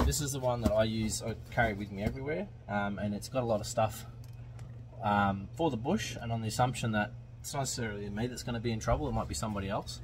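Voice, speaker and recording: Over noticeable background noise, a man talks at a very fast pace in a fairly low pitch, with ordinary pitch variation and vocal fry. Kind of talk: casual vlog chat, storytelling. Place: car. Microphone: phone near.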